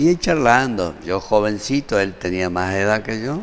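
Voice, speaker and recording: Against noticeable background noise, a man speaks at a fairly slow pace. His intonation is lively. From Argentina, Formosa. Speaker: doctor, surgeon. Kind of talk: interview.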